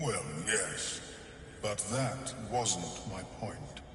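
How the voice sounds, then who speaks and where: Putting on a character voice, a man at a medium pitch talks over loud background noise with a clear echo. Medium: machinima. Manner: clinical, detached.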